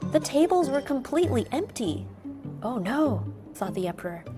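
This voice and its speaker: Over music in the background, a woman with an American accent speaks at a moderate pace. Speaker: storyteller. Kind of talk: children's bedtime story reading.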